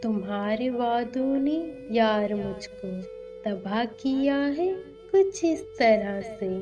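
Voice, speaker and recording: A woman speaks with a fairly high pitch and very wide pitch swings while music plays in the background. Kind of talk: poetry reading.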